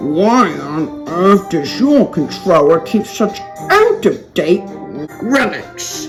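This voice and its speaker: Clear music plays in the background of a put-on character voice. The middle-pitched delivery moves at a very slow pace. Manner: rude, growling.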